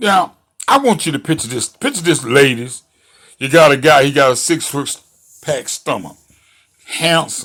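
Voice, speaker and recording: A man speaks at a fairly slow pace with a bright, sharp tone. His fairly high pitch shows ordinary variation. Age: 60s. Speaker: commentary show host. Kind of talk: monologue commentary. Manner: animated.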